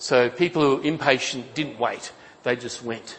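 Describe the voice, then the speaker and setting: A man with an Australian accent speaks fairly slowly at medium pitch, with ordinary pitch variation. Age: 60s. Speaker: pastor. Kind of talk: sermon. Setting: church.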